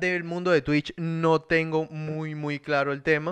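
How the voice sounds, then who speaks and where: A man with a Venezuelan accent, fairly high in pitch, at a fairly slow pace. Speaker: podcast host. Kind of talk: casual chat. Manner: animated.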